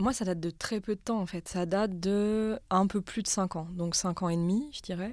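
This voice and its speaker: A woman's plain, everyday voice at medium pitch, with ordinary pitch variation, a moderate pace and hardly any pauses, in a very clean recording with a silent background. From France, Haute-Savoie. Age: 30s. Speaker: social worker and writer. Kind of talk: casual conversation.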